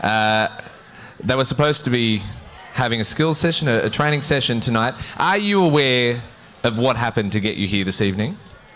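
The speaker's intonation is lively, with noticeable background noise behind it. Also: man, very even loudness. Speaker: awards night MC. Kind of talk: live awards-night MC announcing on stage, formal with audience applause cues. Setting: stage with audience.

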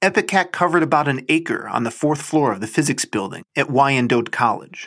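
An ordinary speaking voice, with lively intonation at a fairly quick pace. The recording is very clean, with a silent background. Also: man. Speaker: podcast host reading a short story aloud. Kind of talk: literary audiobook reading of a first-person short story, storytelling. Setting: garage, recorded at home.

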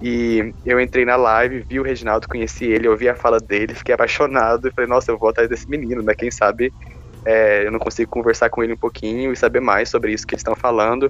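Music is playing in the background. A man talks in a medium pitch. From Brazil, Goiás (Caldas Novas). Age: 20s. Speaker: podcast co-host, nursing student. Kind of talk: casual chat.

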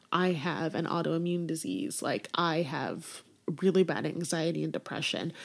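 At a moderate pace, a woman speaks with vocal fry, a fairly low pitch and ordinary pitch variation. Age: 30s. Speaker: wedding and boudoir photographer. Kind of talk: casual chat. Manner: animated.

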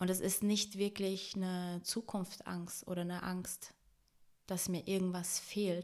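At a very slow pace, a woman speaks at medium pitch with monotone, flat intonation. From Brazil. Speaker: podcast guest. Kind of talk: casual chat.

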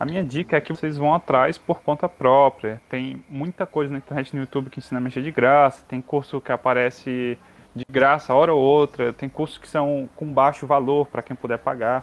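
With hardly any pauses, a man talks at a moderate pace in an ordinary speaking voice, fairly high in pitch with fairly even intonation. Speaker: geology student. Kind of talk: casual chat.

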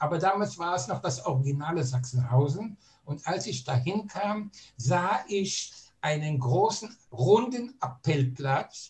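Talking at a very slow pace, a man with a fairly high pitch makes very wide pitch swings. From Germany, Berlin. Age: 80s+. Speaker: Holocaust survivor, eyewitness. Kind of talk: testimony. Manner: lively.

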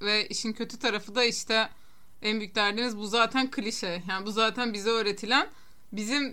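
A woman speaks at a moderate pace with a fairly high pitch, a bright, sharp tone and fairly even intonation. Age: 30s. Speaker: podcast co-host. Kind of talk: casual chat.

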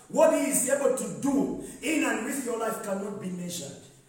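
At a moderate pace, a man speaks in an extremely high, animated voice over noticeable background noise. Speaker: pastor. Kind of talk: sermon. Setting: church with congregation. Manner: animated, call-and-response preaching, rising and exhorting the congregation; commanding, directing the audience.

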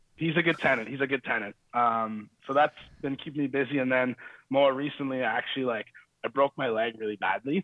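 A man's medium pitch shows ordinary variation as he talks at a fairly quick pace. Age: 20s. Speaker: guest. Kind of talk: casual chat.

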